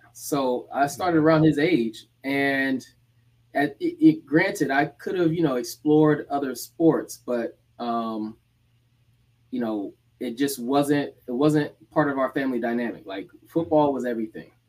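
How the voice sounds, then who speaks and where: A man with an unremarkable speaking voice, fairly high pitch, ordinary pitch variation and a fairly slow pace. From Atlanta, Georgia (Decatur), US South. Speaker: former college football player. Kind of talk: casual interview chat. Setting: live-streamed video podcast.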